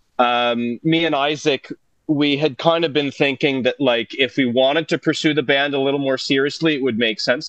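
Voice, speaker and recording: With a Franco-Ontarian accent, a man speaks at a moderate pace and a fairly high pitch, his intonation fairly even and his loudness very even. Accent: Franco-Ontarian Canadian English. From Northern Ontario, Canada (North Bay, Francophone). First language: French. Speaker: musician and producer. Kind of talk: casual chat.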